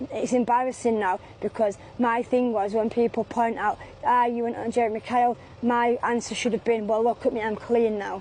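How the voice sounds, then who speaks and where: A woman speaks with a Mancunian accent. Her fairly high voice stays monotone and flat. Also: moderate pace. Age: 40s. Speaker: street sex worker. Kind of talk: street interview. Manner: halting.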